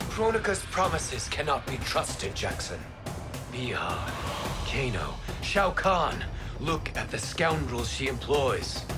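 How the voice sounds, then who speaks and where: A man speaks in a cartoonish character voice at a fairly slow pace. Loud music plays in the background. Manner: measured, solemn.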